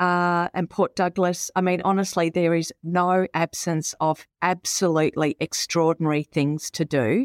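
At a fairly slow pace and with fairly even intonation, a woman with a fairly low voice speaks in an Australian accent, recorded very cleanly against a silent background in a dry, close sound with no echo. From Victoria, Australia (Melbourne suburbs, Warrnambool). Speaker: business executive. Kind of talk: interview.

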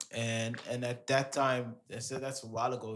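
With monotone, flat intonation, the man keeps to a moderate tempo. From Amsterdam, Netherlands (Surinamese parents). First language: Dutch. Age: 30s. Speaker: DJ. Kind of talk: casual interview.

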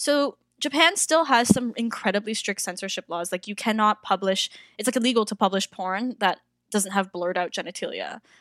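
With a normal speaking voice, a woman talks at a fairly quick pace and a fairly high pitch with ordinary pitch variation, in a dry, close, very clean recording with no echo and a silent background. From Toronto, Canada. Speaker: circus performer and drag artist. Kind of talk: casual interview chat.

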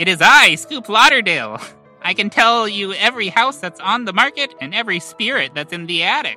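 Putting on a character voice, a man speaks at a fairly quick pace with a high pitch while faint music plays in the background. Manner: mystical, dramatic.

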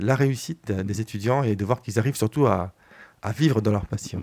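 Here a man speaks at a moderate pace with ordinary pitch variation. The recording is very clean, with a silent background. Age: 50s. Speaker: film director. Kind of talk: radio interview. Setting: radio studio. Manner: hesitant, many fillers.

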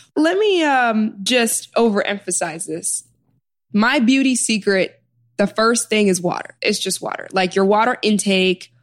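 In a normal speaking voice, a woman talks fairly slowly at a fairly high pitch with lively intonation. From US Midwest, Chicago South Side. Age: 20s. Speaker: author and healer. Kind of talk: interview conversation.

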